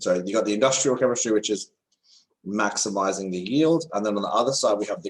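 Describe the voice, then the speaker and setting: With an Australian accent, a man talks in a fairly low pitch with ordinary pitch variation. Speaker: chemistry tutor. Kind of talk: online lesson. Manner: casual, hesitant with fillers.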